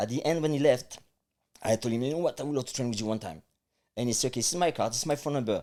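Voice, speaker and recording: A man speaks with a strong French accent and lively intonation. His tone is dark and mellow, on a very clean recording with a silent background. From France. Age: 50s. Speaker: life coach. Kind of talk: interview.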